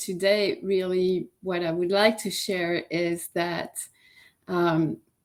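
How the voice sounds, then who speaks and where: In a very clean recording with a silent background, a woman of medium pitch speaks very slowly with a French accent. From France. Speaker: yoga teacher and life coach. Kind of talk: interview.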